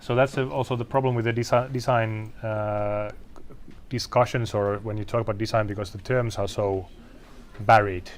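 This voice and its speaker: Fairly low-pitched male voice in a Finnish accent, moderate pace and fairly even intonation. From Finland, Helsinki. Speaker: designer. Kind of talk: panel discussion. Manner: halting.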